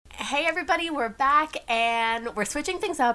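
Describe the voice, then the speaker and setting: A woman with an American accent talks at a moderate pace, her pitch swinging very widely. Noticeable background noise sits behind her. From Texas, San Antonio. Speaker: podcast host. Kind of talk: casual chat.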